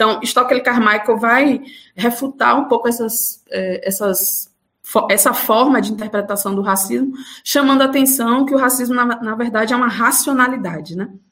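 Moderate pace with ordinary pitch variation. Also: woman, fairly high pitch for a woman. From Bahia interior, Brazil. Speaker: law professor. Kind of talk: interview. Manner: hesitant fillers.

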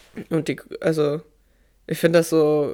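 The speech moves at a very slow pace. It is a very clean recording with a silent background. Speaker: podcast host, interviewer. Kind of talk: interview-style casual chat.

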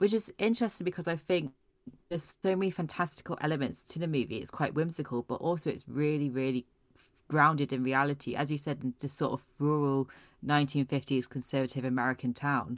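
A fairly quick pace on a very clean recording with a silent background. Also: woman. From Scotland, Aberdeen. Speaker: film and TV journalist. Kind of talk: casual chat.

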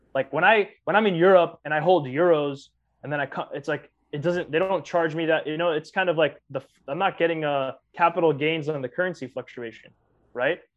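A man with an American accent talks at a very fast pace in a fairly high pitch, his intonation fairly even and broken by long, frequent pauses. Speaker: podcast co-host. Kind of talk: casual chat.

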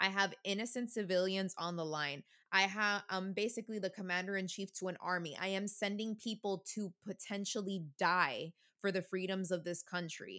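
A woman with an American accent speaks at a moderate pace and medium pitch. Her tone is bright and sharp, her intonation fairly even. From United States. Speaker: podcast co-host. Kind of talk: casual chat.

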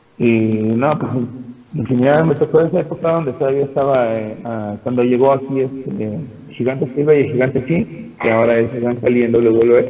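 With noticeable background noise behind him, the man keeps a medium pitch, a moderate pace and ordinary pitch variation. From Mexico City. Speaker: pro wrestler. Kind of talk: casual interview.

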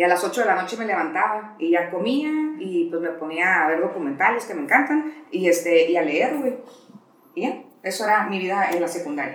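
Very wide pitch swings run through this voice, heard with audible room echo and noticeable background noise. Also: woman, medium pitch for a woman, moderate pace. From Mexico, Tijuana. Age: 40s. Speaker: notary office worker. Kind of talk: casual chat.

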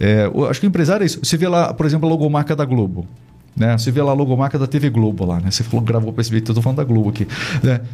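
A man's dark, mellow voice at medium pitch, somewhat breathy, with lively intonation, very even loudness and a very fast pace. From Brazil. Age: 40s. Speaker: podcast host. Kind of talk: interview. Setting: studio.

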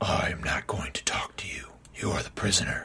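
A man performs a put-on character voice. The voice is raspy. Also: moderate pace. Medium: read story. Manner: cold, curt, menacing; commanding, formal speech.

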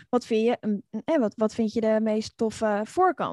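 A woman's fairly high, fairly even voice at a fairly slow pace, a plain, everyday voice in a dry, close sound with no echo. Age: 40s. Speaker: online community expert and author. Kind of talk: interview.

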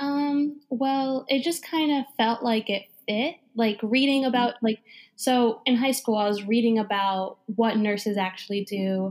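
In a very clean recording with a silent background, a woman with an American accent uses a normal speaking voice at a fairly high pitch, with ordinary pitch variation, very even loudness and a fairly slow pace. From New Jersey. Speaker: nurse. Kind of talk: interview.

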